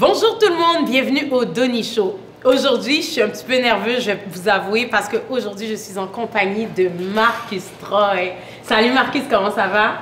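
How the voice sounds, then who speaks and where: A woman speaks at a fairly quick pace and a fairly high pitch. Noticeable background noise and audible room echo fill the recording. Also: ordinary pitch variation. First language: French. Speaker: talk show host. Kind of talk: interview. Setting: studio set.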